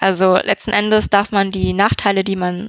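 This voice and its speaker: Against a quiet background, a woman speaks at a medium pitch with monotone, flat intonation in a dry, close sound with no echo. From Germany, Düsseldorf area. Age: 20s. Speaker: business informatics student. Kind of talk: interview. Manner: hesitant with fillers.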